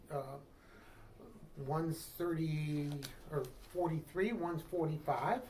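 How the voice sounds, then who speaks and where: The speaker talks at a very slow pace with long, frequent pauses. The voice carries a Midwestern American accent and ordinary pitch variation. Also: man, fairly high pitch for a man. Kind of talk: interview.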